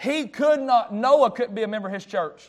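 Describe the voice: Here a man speaks at an extremely high pitch. He keeps a moderate pace with ordinary pitch variation.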